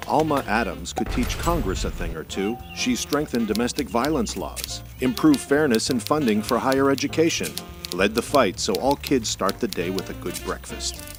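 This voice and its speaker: Music plays in the background as a man talks at a moderate pace in a fairly low pitch with very wide pitch swings. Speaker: voice actor. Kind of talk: political TV ad read.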